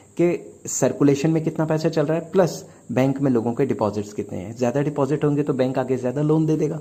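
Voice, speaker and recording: Putting on a hoarse character voice, a man speaks at a fairly quick pace with hardly any pauses. His pitch is fairly high, with ordinary variation. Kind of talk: teacherly, explaining economics.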